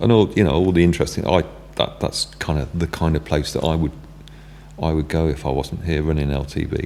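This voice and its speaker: Against noticeable background noise, a man with a very deep, low pitch talks at a fairly quick pace. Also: ordinary pitch variation. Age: 60s. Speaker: music venue owner. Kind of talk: casual chat. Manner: halting, many fillers and restarts.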